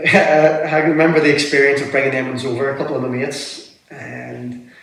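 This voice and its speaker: A man's fairly high, monotone, flat voice at a fairly quick pace, with audible room echo. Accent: Belfast. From Northern Ireland, Belfast. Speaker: interview guest. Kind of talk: casual interview chat.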